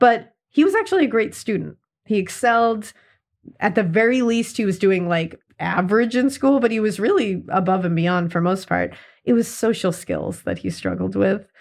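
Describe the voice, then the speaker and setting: A woman's speech proceeds at a moderate pace, her pitch rising and falling in a typical way, with little behind her but a quiet background. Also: medium pitch for a woman. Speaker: true crime podcast host. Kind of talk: casual chat. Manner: animated.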